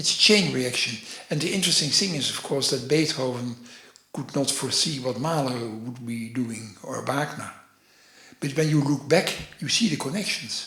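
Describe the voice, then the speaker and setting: Over noticeable background noise and audible room echo, a man of medium pitch with a Dutch accent talks at a moderate pace with ordinary pitch variation. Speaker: orchestral programmer and author. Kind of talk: interview. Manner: halting, many fillers.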